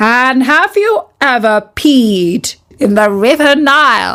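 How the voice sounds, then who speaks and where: A very slow, high-pitched put-on character voice that sounds female. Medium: read story. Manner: squawking, stern.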